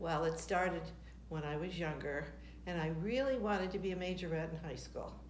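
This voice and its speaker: Speaking at a fairly quick pace, a woman with an American accent has a fairly low pitch and ordinary pitch variation. Audible room echo and noticeable background noise fill the clip. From US Midwest (Michigan, Detroit). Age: 70s. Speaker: retired tap dancer, grandmother. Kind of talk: casual interview.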